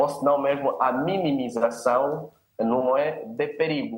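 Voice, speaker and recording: Speaking at a very slow pace, a man uses lively intonation at a fairly high pitch. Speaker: sociologist and community leader. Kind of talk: panel discussion.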